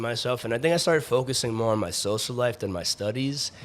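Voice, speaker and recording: A man with a New York accent at a medium pitch. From New York City, the Bronx. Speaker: bartender and West Point graduate. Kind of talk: casual chat. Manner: halting, many fillers.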